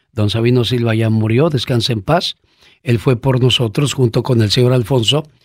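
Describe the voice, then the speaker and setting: The man's medium-pitched voice holds a fairly even intonation on a very clean recording with a silent background. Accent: Mexican. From Mexico. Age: 50s. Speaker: podcast host. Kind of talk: personal storytelling.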